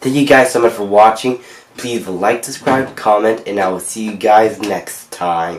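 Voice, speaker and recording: Against noticeable background noise, a man with a fairly low pitch speaks at a fairly slow pace with ordinary pitch variation. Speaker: YouTube reactor. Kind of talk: video reaction commentary. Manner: casual, with many fillers.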